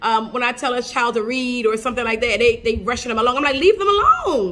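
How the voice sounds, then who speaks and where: A woman's high-pitched, raised and projected voice, bright and sharp in tone. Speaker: podcast host. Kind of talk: casual podcast monologue. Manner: fast.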